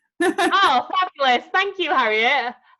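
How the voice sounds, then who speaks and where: A woman's raised, projected voice in a Yorkshire accent, bright and sharp in tone, with lively intonation at a moderate pace. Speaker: dance teacher. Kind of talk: online dance class instruction. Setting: video call.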